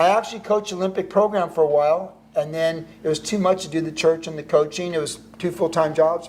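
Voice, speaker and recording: Speaking at a fairly quick pace, a man with an American accent has a high pitch. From California. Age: 60s. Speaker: pro surfer turned pastor and author. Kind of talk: casual interview chat.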